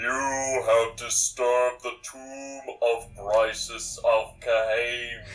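A booming man's put-on character voice at medium pitch and a very slow pace. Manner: menacing, thundering.

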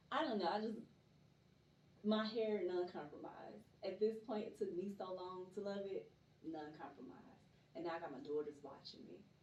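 With an American accent, a woman at a medium pitch sounds animated, using lively intonation, big swings in loudness, long, frequent pauses and a moderate pace over noticeable background noise. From Atlanta, Georgia (Stone Mountain). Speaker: poet. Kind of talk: casual chat.

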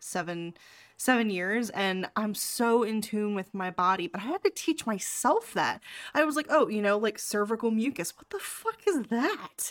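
At a fairly slow pace, a woman of medium pitch talks in an ordinary speaking voice. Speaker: podcast host and sex coach. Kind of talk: casual chat. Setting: video call.

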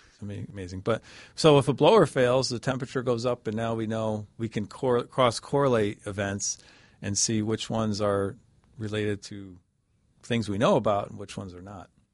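A man speaks at a moderate pace in an enthusiastic tone, his voice fairly low with ordinary pitch variation. His loudness swings widely. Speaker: hardware memory engineer. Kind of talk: technical interview.

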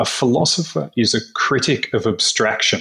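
Here a man speaks at a medium pitch with ordinary pitch variation. The recording is very clean, with a silent background. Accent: Australian. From Melbourne, Australia. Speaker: philosopher and writer. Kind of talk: casual interview chat.

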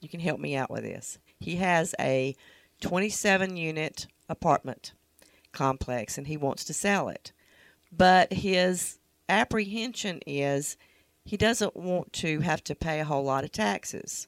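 A woman with a very deep, low pitch talks at a very slow pace with vocal fry. The sound is dry and close, with no echo. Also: very clean recording, silent background. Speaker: co-host, real estate agent. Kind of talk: casual chat. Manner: tired.

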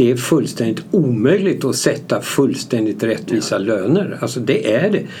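A man's lively intonation and moderate pace come through noticeable background noise and audible room echo. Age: 70s. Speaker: company founder. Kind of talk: interview.

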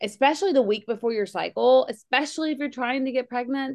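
Against a quiet background, a woman talks in a high voice with ordinary pitch variation. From Kentucky. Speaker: nurse practitioner and podcast co-host. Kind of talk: casual health chat.

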